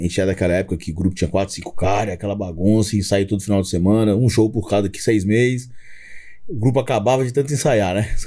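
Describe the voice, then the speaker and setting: At a very fast pace, a man talks with a fairly low voice and ordinary pitch variation. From Brazil, Belo Horizonte (Minas Gerais). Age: 40s. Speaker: gospel rapper. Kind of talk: podcast interview, testimony.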